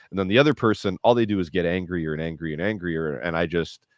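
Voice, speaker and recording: Fairly quick speech from a man, very deep and low in pitch, with ordinary pitch variation. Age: 40s. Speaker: HVAC business owner and podcast host. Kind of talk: casual interview chat.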